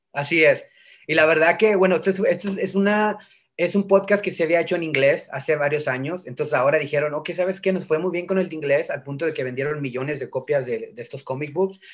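Against a quiet background, a high-voiced man talks at a very fast pace with ordinary pitch variation. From northern Mexico (Tamaulipas). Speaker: voice actor. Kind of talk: interview. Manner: animated. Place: home room. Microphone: video call.

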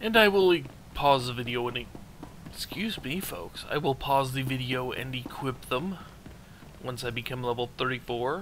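Noticeable background noise surrounds a man speaking at a fairly slow pace. His medium pitch shows ordinary variation. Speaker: gaming video creator. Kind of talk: let's play commentary. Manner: casual, rambling.

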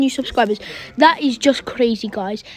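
A woman's voice with ordinary pitch variation, noticeable background noise behind it. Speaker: gaming YouTuber. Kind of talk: gameplay commentary. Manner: casual, rambling.

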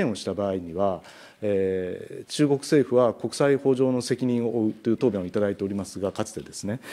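A man's dark, mellow voice at a moderate pace. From Japan. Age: 40s. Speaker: national legislator. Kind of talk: parliamentary questioning. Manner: formal. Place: meeting room. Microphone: podium.

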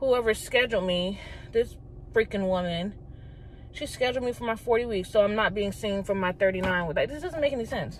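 A woman at a fairly quick pace with ordinary pitch variation, dry sound with no echo and light background noise. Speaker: pregnant vlogger. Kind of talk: casual vlog chat. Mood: annoyed, frustrated. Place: car. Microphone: phone near.

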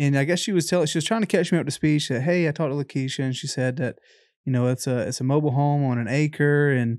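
Talking at a very fast pace with an American accent, a man uses a fairly high pitch and ordinary pitch variation, recorded dry with no echo over a quiet background. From South Carolina (Lexington); South Carolina. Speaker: real estate investor. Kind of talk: sales call. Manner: casual, filler-heavy. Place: home room. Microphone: studio mic.

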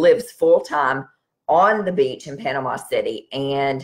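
Over a quiet background, a woman speaks at a fairly slow pace. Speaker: wellness practitioner host. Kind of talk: live stream talk to viewers. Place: home room. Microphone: webcam.

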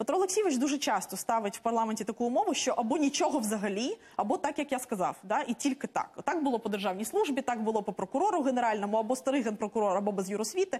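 A woman talks at a very fast pace in a high voice. Her intonation is lively. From Ukraine. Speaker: member of parliament; politician guest. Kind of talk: heated debate. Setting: studio. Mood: critical, argumentative. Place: studio. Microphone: lapel.

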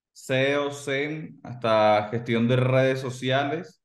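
In a room with audible echo but a quiet background, a man speaks very slowly in a fairly high pitch. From Colombia. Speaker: digital marketing agency co-founder. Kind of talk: interview. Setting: video call. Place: home room. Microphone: video call.

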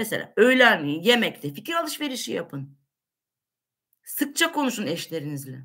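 A woman's bright, sharp tone, fairly high pitch and very wide pitch swings, with vocal fry, a moderate pace and a quiet background. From Turkey. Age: 50s. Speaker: livestream host answering viewer questions. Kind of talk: casual Q&A livestream. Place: kitchen. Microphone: webcam.

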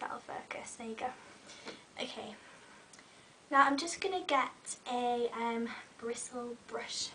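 Very slowly and with long, frequent pauses, a woman speaks at a high pitch with ordinary pitch variation and big swings in loudness over noticeable background noise. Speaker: beauty vlogger. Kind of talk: tutorial. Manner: casual, friendly.

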